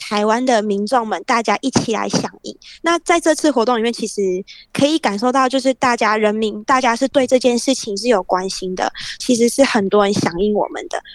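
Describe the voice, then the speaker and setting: A woman's fairly high voice at a fairly quick pace, lively in intonation, with a dry, close sound and no echo. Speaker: school teacher. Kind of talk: interview.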